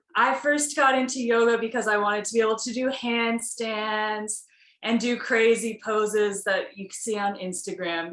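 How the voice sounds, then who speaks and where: A plain, everyday voice with an American accent. The pitch varies in an ordinary way. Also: woman. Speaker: yoga teacher. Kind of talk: casual chat.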